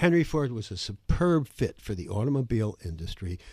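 On a very clean recording with a silent background, a man speaks at a moderate pace with lively intonation and a somewhat breathy voice. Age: 70s. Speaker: former CEO and author. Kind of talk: interview. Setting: studio.

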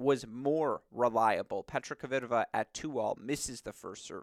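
The recording is very clean with a silent background and a dry, close sound with no echo, as a man speaks at a moderate pace with a medium pitch and lively intonation. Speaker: tennis podcast host. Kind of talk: solo sports analysis podcast. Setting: studio. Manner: animated.

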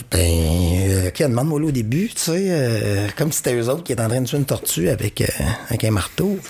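A man with a Quebec accent talks at a fairly quick pace, his medium-pitched voice swinging very widely. Noticeable background noise runs underneath. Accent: Québécois French. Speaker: comedian. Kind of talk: casual chat. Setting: studio.

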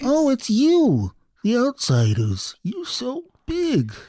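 A put-on character voice moves at a very slow pace with a fairly high pitch. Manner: wondering, timid.

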